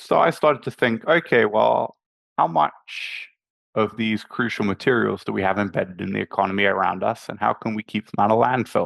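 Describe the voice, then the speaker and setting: Heard in a dry, close sound with no echo and a quiet background, a man with vocal fry and a fairly low pitch talks at a fairly quick pace. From UK and South Africa. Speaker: clean energy startup co-founder. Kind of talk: webinar interview. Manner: halting, repeats words.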